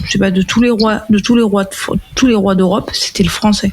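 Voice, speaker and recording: The woman's voice sits at a medium pitch. Her intonation is monotone and flat, with noticeable background noise behind her. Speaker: podcast panelist. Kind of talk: casual chat. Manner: rambling, hesitant.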